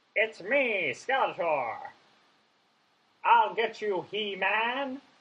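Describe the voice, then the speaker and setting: This is a put-on character voice. The delivery is very slow. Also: female-sounding voice, fairly high pitch for a woman. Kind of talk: theatrical. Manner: menacing.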